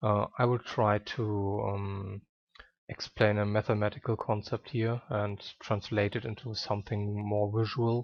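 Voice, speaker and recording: A man's somewhat breathy, fairly low voice with a non-native accent, fairly slow in pace and monotone, flat in intonation. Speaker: video game guide maker. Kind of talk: game tutorial narration. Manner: hesitant, many filler sounds.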